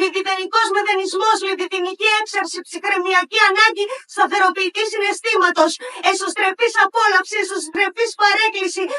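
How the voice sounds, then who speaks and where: At a moderate pace, a woman projects a raised voice at an extremely high pitch, with a bright, sharp tone and monotone, flat intonation. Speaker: poet. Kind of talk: poetry slam performance.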